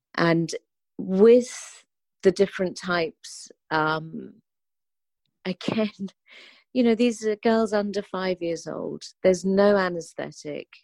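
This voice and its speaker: With a London accent, a woman speaks at a very slow pace and medium pitch. Her ordinary pitch variation is broken by long, frequent pauses. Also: dry, close sound with no echo. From London, England. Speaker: charity founder and activist. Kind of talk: interview.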